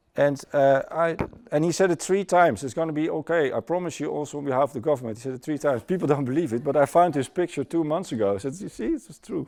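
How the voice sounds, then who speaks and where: A man speaks very fast with a Dutch accent, his pitch fairly high and his tone dark and mellow. The recording is very clean, with a silent background. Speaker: former airline pilot, conference speaker. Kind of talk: conference talk. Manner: halting.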